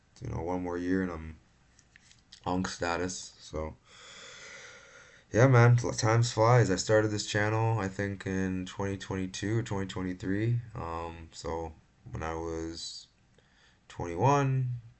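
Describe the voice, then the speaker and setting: The speech has long, frequent pauses. Its pitch variation is ordinary. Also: man, very deep, low pitch for a man, fairly slow pace. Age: 20s. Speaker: MMA predictions youtuber. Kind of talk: casual solo commentary. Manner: casual, many fillers.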